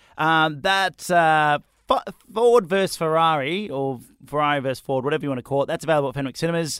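A man with a fairly high pitch speaks at a fairly quick pace with lively intonation, in a very clean recording with a silent background. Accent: Australian. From Australia. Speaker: radio breakfast host. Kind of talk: casual chat.

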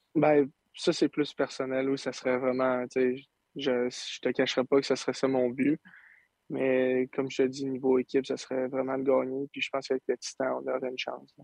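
In a dry, close sound with no echo, a man speaks at a moderate pace with a medium pitch and flat, monotone intonation. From Quebec, Saint-Eustache. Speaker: junior hockey player. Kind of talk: interview.

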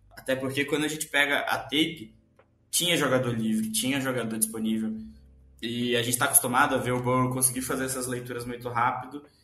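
A man at medium pitch, very fast and monotone with flat intonation, amid noticeable background noise and audible room echo. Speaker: sports podcast co-host. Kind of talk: casual sports chat.

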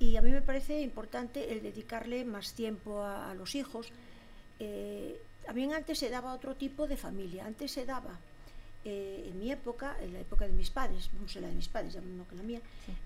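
A woman speaks at a fairly high pitch with ordinary variation and vocal fry. Her loudness swings widely. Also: moderate pace. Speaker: former local politician. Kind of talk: casual chat. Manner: halting.

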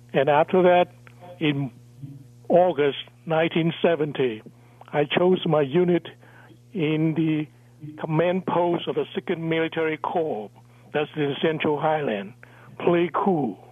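A man's fairly high voice at a very slow pace, with ordinary pitch variation and long, frequent pauses. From Vietnam. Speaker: guest sharing his life story. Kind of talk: interview, life testimony. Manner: halting, broken grammar.

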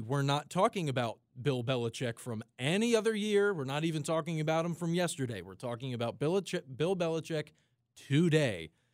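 In a very clean recording with a silent background, a man talks with an American accent in a plain, everyday voice. His pitch is fairly high, his intonation lively and his pace moderate. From South Jersey, US. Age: 20s. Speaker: radio station engineer. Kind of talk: casual sports talk radio chat.

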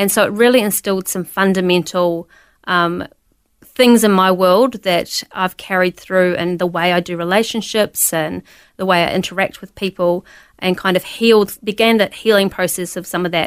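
A woman speaks in a New Zealand accent. The recording is very clean and the background silent. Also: medium pitch for a woman, fairly even intonation, moderate pace. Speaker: pastor. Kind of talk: testimony.

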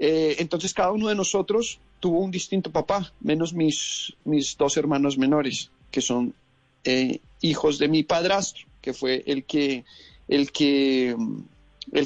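A man with a fairly high pitch talks fairly slowly in a normal speaking voice, with ordinary pitch variation and very even loudness. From Colombia. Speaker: actor and director. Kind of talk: interview. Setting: phone call.

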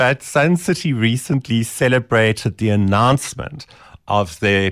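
A man with a South African accent speaks at a fairly slow pace, medium in pitch, with lively intonation and very even loudness. The recording is very clean and dry, close with no echo and a silent background. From South Africa (Eastern Cape). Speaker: lifestyle blogger and media personality. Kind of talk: radio interview chat. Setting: radio studio.

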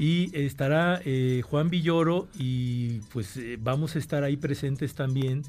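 The voice moves at a fairly slow pace with hardly any pauses and ordinary pitch variation. Music plays in the background. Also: man, fairly high pitch for a man. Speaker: university rector. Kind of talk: radio interview, formal answers.

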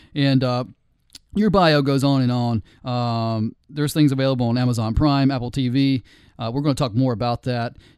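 This man uses an ordinary speaking voice at a medium pitch. His pace is moderate, with ordinary pitch variation. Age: 40s. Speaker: podcast host. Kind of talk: casual chat. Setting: studio.

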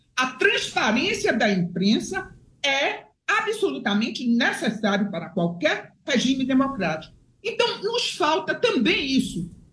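Amid audible room echo, a woman with a high pitch speaks at a fairly slow pace with very wide pitch swings. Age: 70s. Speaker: retired judge. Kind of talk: political commentary.

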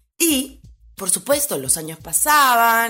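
Very slow and marked by very wide pitch swings, a woman's voice comes through on a very clean recording with a silent background. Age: 40s. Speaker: podcast host, former fitness trainer and photographer. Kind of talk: personal storytelling monologue.

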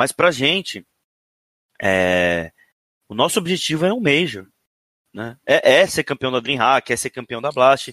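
The voice is bright and sharp in tone, with very wide pitch swings, a fairly slow pace and long, frequent pauses. The recording is very clean with a silent background and a dry, close sound with no echo. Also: man, medium pitch for a man. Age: 30s. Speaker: esports coach. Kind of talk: interview. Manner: halting, many repetitions.

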